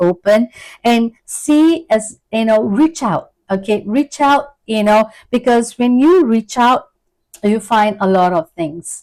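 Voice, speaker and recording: A woman with a plain, everyday voice, fairly high in pitch, at a fairly slow pace with ordinary pitch variation, in a dry, close sound with no echo. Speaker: tarot reader and counseling psychologist. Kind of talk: tarot reading.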